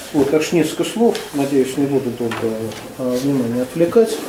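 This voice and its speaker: A man talks fairly quickly while noticeable noise sits in the background. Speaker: discussant. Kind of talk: discussion. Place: meeting room.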